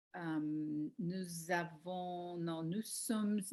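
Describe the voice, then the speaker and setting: At a very slow pace, a woman with a fairly low voice speaks in an English accent. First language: English (speaking French). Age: 60s. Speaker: life coach learning French. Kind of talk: language practice self-introduction. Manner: halting, with hesitations and self-corrections.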